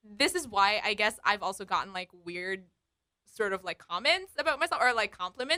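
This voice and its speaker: A woman projects a raised voice with a bright, sharp tone, very wide pitch swings, and a fairly quick pace, recorded with a dry, close sound and no echo. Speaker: radio news presenter and podcast co-host. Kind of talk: casual chat. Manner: same pitch as on air, unmodulated.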